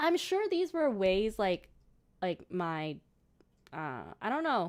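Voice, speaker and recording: A woman in a Cantonese accent, very slow, with very wide pitch swings. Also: medium pitch for a woman. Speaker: gaming streamer. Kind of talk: casual chat. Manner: halting.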